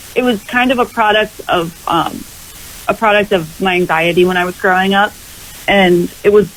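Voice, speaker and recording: Noticeable background noise fills the recording. Through it, a woman talks fairly quickly with ordinary pitch variation. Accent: American. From Massachusetts, New England. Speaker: country pop singer-songwriter. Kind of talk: radio interview.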